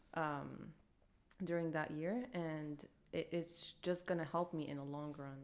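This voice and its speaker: A woman with an Arabic accent speaks at a fairly slow pace, with a very deep, low pitch and fairly even intonation. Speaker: podcast co-host. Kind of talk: casual chat. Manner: hesitant.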